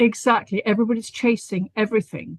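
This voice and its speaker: A woman's voice comes through somewhat breathy. The sound is dry and close, with no echo. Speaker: stress and anxiety therapist. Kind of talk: interview on live stream.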